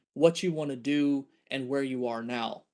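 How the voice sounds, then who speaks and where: Against a quiet background, a man with an ordinary speaking voice, fairly high in pitch, talks at a fairly slow pace. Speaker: scientist lecturer. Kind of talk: lecture.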